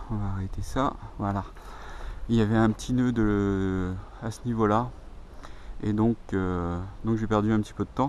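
Over light background noise, a man with a fairly low voice speaks fairly slowly, leaving long, frequent pauses, in a dry sound with no echo. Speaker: YouTuber, camper van owner. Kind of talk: tutorial. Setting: outdoors. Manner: halting. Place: open country. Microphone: phone near.

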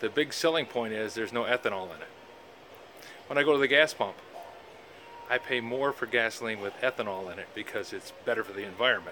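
A man talks at a very fast pace with long, frequent pauses, big swings in loudness and ordinary pitch variation. Light background noise is present. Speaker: woodworker. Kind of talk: casual talk to camera. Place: shop. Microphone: phone near.

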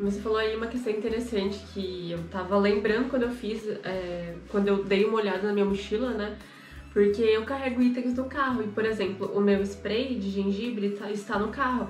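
Over faint music in the background and audible room echo, a woman speaks with fairly even intonation. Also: moderate pace. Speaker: channel co-host. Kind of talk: casual conversation, show-and-tell. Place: studio.

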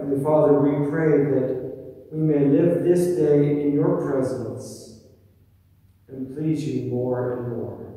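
Over a quiet background with strong room echo, a man speaks very slowly with fairly even intonation. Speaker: pastor leading worship. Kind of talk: spoken prayer. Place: church.

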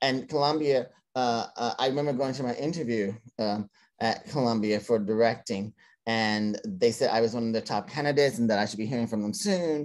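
Against a quiet background, a man with an American accent speaks at a fairly quick pace with ordinary pitch variation. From Cincinnati, Ohio; Ohio. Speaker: theater director and playwright; interview guest. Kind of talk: interview. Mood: reflective storytelling. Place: home room. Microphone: video call.

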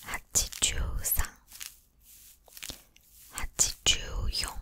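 A woman whispers at a fairly slow pace. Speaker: ASMR creator. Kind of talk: ASMR counting to sleep. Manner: soft, whispered. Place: home room. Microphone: studio mic.

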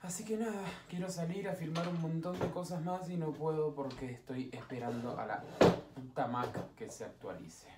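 A man's high-pitched voice with ordinary pitch variation over loud background noise. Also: moderate pace. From Argentina. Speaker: voice-over announcer. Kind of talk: casual travel vlog talk to camera. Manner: chatty, upbeat. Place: home room. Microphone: webcam.

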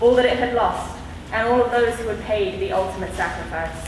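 A woman speaks with ordinary pitch variation amid light background noise and audible room echo. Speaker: speaker. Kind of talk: formal commemorative speech. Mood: solemn, reflective. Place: hall.

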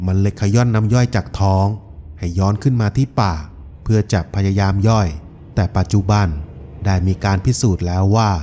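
The man's pitch is fairly low, with fairly even intonation. His tone is dark and mellow. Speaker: voice-over artist. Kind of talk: documentary-style folklore narration.

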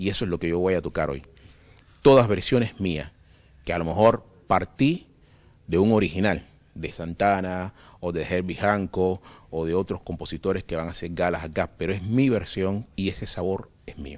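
The speech has ordinary pitch variation and a moderate pace against a quiet background. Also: man, very deep, low pitch for a man. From Cuba. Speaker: concert pianist and composer; interviewee. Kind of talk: interview. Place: stage. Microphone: handheld.

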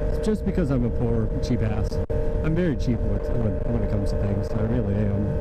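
A man speaks fairly quickly while loud background noise surrounds him. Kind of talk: casual vlog chat. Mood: relaxed, upbeat. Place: motorbike. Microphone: helmet.

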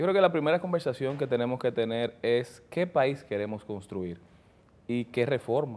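A man with a normal speaking voice talks at a moderate pace and medium pitch. His intonation is lively. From Dominican Republic, Santo Domingo; Dominican Republic. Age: 30s. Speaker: politician, newly elected congressman; politician guest. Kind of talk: interview. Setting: studio. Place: studio. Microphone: lapel.

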